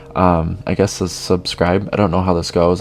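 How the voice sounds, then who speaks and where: A man speaks at a moderate pace in a very deep, low voice, with music playing in the background. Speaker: motivational YouTuber. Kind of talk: motivational monologue. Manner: halting; informal.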